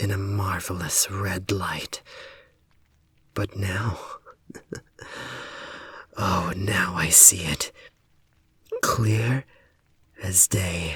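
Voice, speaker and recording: A man puts on a raspy character voice at a fairly low pitch, talking at a very slow pace with long, frequent pauses. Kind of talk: audio roleplay.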